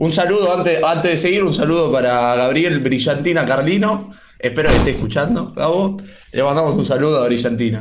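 A man's fairly high voice in a Rioplatense accent, fairly quick and lively in intonation, very even in loudness, with noticeable background noise and audible room echo. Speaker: football stream co-host. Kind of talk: casual chat. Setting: online group call.

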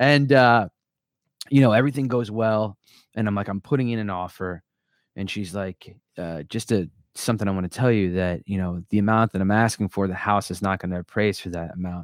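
A man with an ordinary speaking voice and an American accent at a fairly quick pace and fairly low pitch, with ordinary pitch variation, in a dry, close sound with no echo. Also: very clean recording, silent background. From US Northeast (southern New Jersey). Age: 30s. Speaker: army veteran, lead generation business owner. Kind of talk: casual chat.

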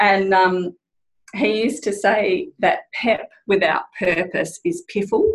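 A woman with an Australian accent speaks at a very slow pace and medium pitch. Her voice is somewhat breathy, with very even loudness. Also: lively intonation. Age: 40s. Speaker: general manager of a natural health company. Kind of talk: casual chat.

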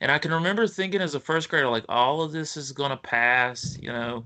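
Fairly high in pitch, a man talks with a strong Appalachian accent. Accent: Appalachian US, thick. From West Virginia, US. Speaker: author. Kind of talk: casual interview.

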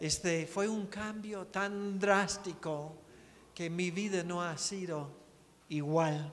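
With audible room echo, a man speaks at a very slow pace in a high pitch with ordinary pitch variation. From United States. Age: 60s. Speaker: missionary preacher. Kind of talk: sermon. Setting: church.

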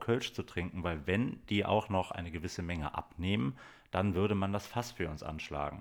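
A man's very deep, low voice at a moderate pace, with ordinary pitch variation, on a very clean recording with a silent background. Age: 40s. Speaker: podcast co-host, DJ and TV worker. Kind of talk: casual chat. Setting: home recording with baby sleeping on his chest.

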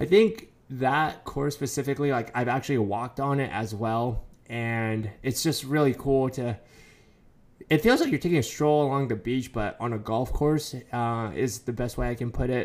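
In a normal speaking voice with an American accent, a man talks at a moderate pace and medium pitch with ordinary pitch variation, captured in a very clean recording against a silent background. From US West Coast. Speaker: podcast co-host. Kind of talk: casual chat.

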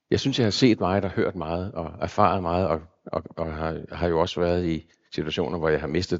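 Pitch varies in an ordinary way as the speaker talks fairly quickly. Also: man. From Zealand, Denmark (Copenhagen area). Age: 60s. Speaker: pastor. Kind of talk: sermon. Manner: halting.

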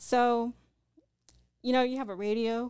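A soft-spoken woman in a very clean recording with a silent background. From Southern California, Orange County. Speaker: spiritual practitioner, former mortician and corrections officer. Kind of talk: interview.

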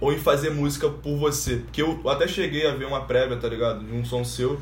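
The man's speech moves fairly quickly. Echo from the room is audible. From Rio de Janeiro (Ilha do Governador, Nova Iguaçu). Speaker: podcast host. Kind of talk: casual chat.

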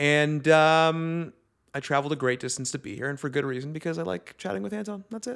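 Speaking at a fairly quick pace, a man with an unremarkable speaking voice has fairly high pitch and lively intonation, recorded very cleanly against a silent background. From Toronto, Canada. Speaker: guest. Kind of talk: casual comedic chat.

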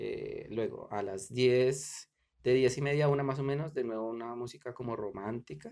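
This man's voice sits at a medium pitch with ordinary variation, carrying a dark, mellow tone at a moderate pace. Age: middle-aged. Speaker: podcaster. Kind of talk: casual solo commentary. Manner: halting, many fillers.

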